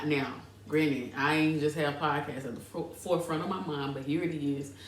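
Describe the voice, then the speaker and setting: A woman speaks with a very deep, low pitch. Audible room echo and noticeable background noise fill the recording. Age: 30s. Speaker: podcast host, fitness entrepreneur. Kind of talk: casual personal storytelling podcast. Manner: casual, conversational, hesitant at times.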